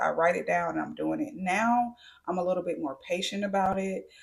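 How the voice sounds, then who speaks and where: A woman talks at a fairly quick pace with lively intonation. Her medium-pitched voice is somewhat breathy. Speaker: beauty and lifestyle vlogger. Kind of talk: casual Q&A monologue.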